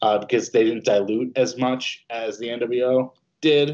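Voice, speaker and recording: In an American accent, a man with an unremarkable speaking voice holds a medium pitch and fairly even intonation. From New Jersey. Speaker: musician. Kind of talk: casual chat.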